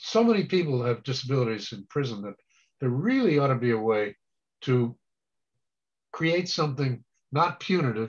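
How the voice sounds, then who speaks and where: A man's medium-pitched, somewhat breathy voice at a moderate pace, with lively intonation and long, frequent pauses. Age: 70s. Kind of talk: presentation Q&A.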